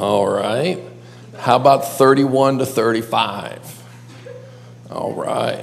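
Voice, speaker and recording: Speech with an American accent comes at a very slow pace, broken by long, frequent pauses. Noticeable background noise and audible room echo are present. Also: man. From western New York (Buffalo area). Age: 50s. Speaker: pastor and counselor. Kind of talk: teaching session. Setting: classroom with live audience. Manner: animated.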